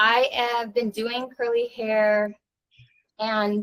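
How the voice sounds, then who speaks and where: The recording of this woman's voice is dry and close, with no echo. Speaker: curly hair stylist and salon owner. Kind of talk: interview. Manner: direct, intense.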